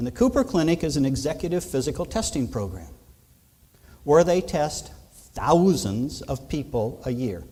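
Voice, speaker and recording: A man speaks with a dark, mellow tone and a fairly high pitch, his voice swinging very widely in pitch and catching in vocal fry. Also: moderate pace. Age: 60s. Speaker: physician and keynote speaker. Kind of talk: keynote speech.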